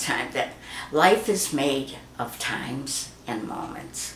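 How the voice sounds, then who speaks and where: Audible room echo and noticeable background noise surround a woman whose very deep, low voice carries an American accent. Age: 80s+. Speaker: grandmother interviewed about her life. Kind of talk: family oral history interview.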